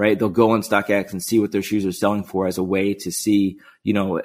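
Recorded very cleanly against a silent background, a man talks at a fairly quick pace. He has a plain, everyday voice with a fairly low pitch. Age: 40s. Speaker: sneaker marketplace co-founder. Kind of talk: interview.

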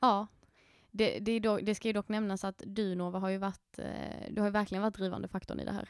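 A woman at a very fast pace, medium in pitch, with monotone, flat intonation. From Skåne, southern Sweden. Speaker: podcast co-host. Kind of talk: casual chat. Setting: podcast studio in a coworking space.

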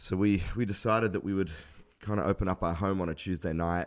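Recorded very cleanly over a silent background, a man with an Australian accent talks at a fairly quick pace with fairly even intonation. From Australia, Adelaide. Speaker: pastor. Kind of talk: interview.

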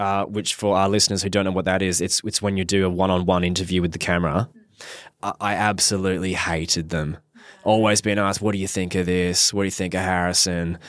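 Very deep and low-pitched, a man with an Australian accent races along at a very fast pace in a monotone, flat intonation. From Perth, Western Australia. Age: 30s. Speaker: marriage celebrant and reality TV contestant. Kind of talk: casual chat.

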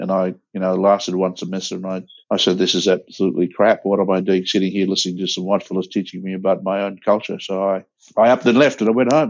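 This man has an Australian accent and a very deep, low pitch. He talks at a very fast pace with fairly even intonation. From Broome, Western Australia. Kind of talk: interview.

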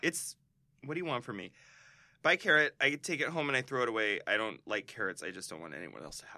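Very fast and dry with no echo, a man's medium-pitched voice has a bright, sharp tone and vocal fry, with very wide pitch swings and big swings in loudness. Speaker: podcast co-host. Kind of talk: casual chat.

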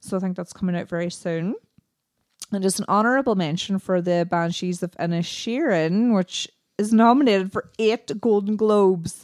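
In a dry, close sound with no echo, a woman speaks with an Irish accent. Her voice is medium in pitch, with ordinary pitch variation and a moderate pace. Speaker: podcast co-host. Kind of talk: casual chat.

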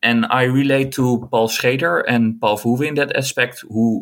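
A man with a Dutch accent speaks at a medium pitch and a fairly slow pace, his intonation fairly even. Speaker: film scholar and writer. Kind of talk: casual chat.

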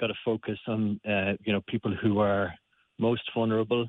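In a Limerick accent, a man with a fairly low pitch speaks at a moderate pace with monotone, flat intonation. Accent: Irish (Limerick). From Ireland, Limerick. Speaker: aid worker. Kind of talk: radio interview. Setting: phone call. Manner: halting, many fillers.

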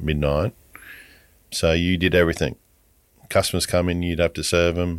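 A man with a very deep, low pitch and an Australian accent, on a very clean recording with a silent background. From rural Queensland, Australia. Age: 60s. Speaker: supermarket owner, former bank officer. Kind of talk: interview.

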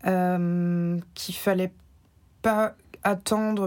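Her intonation is flat and monotone. The woman is recorded very cleanly over a silent background. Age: 30s. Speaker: podcast guest sharing personal story. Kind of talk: personal testimony interview. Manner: hesitant, many filler sounds.

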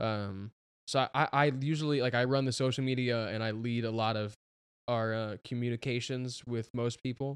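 A plain, everyday voice from a man at medium pitch, with fairly even intonation and a moderate pace. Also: dry, close sound with no echo. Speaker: pop musician. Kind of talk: casual chat.

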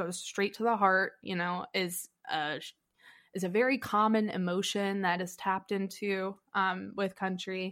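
A normal speaking voice from a woman in an American accent, medium in pitch, on a very clean recording with a silent background. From US South, Nashville. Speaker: music journalist and musician. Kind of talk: casual chat.

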